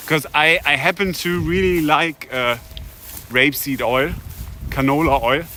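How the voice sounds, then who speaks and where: With a German accent, a man speaks fairly slowly at a fairly high pitch with ordinary pitch variation, taking long, frequent pauses amid noticeable background noise. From Germany, Hamburg. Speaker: streamer. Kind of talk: live stream commentary while hiking. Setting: outdoors, walking.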